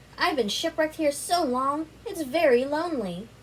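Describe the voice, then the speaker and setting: Amid clear background noise, a woman puts on a character voice, high-pitched and lively in intonation. Her pace is moderate. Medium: read story.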